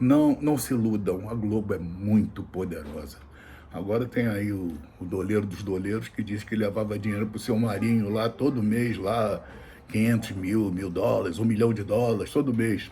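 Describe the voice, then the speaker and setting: A man speaks at a moderate pace with a fairly low pitch, a dark, mellow tone, somewhat breathy delivery and ordinary pitch variation, with audible room echo. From Brazil. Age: 60s. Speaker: political commentator. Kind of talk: political commentary monologue. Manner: halting, repetitive.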